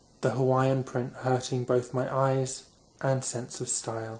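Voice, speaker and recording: With a British accent, a man speaks very slowly at a medium pitch in a flat monotone. Noticeable background noise sits behind him. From England. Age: young. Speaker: author. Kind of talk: ASMR sleep reading of own novel. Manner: soft-spoken, slow.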